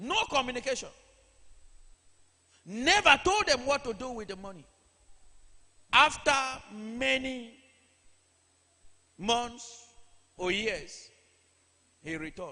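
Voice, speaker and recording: A man speaks in a raised, projected voice at an extremely high pitch, with a bright, sharp tone. His pace is very slow, with long, frequent pauses and big swings in loudness. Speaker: church preacher. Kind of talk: sermon delivered to a congregation.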